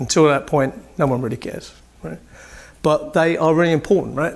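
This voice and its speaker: A man with a British accent speaks fairly quickly at a fairly high pitch with ordinary pitch variation. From UK. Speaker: building commissioning engineer. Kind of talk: conference presentation. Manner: animated.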